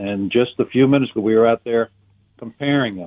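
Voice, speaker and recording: A man with an American accent speaks in a plain, everyday voice at medium pitch, with ordinary pitch variation. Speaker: caller. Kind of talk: casual chat. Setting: phone call.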